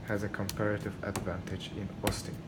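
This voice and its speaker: A man with a non-native accent speaks amid audible room echo and noticeable background noise. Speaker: student. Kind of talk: class presentation. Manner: hesitant, many fillers.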